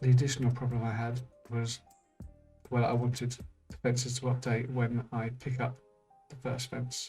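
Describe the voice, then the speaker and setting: A quiet, medium-pitched male voice, monotone and flat, at a moderate pace with long, frequent pauses and music in the background. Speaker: indie game developer. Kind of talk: screen-recorded tutorial narration.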